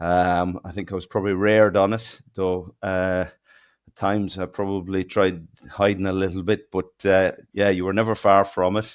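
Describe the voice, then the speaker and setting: A man with a strong Irish accent, a very deep, low pitch and a monotone, flat intonation, big swings in loudness, a moderate pace, on a very clean recording with a silent background. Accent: broad Irish. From southeast Ireland, near Kilmore Quay. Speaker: fishing technology company co-founder. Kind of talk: podcast interview.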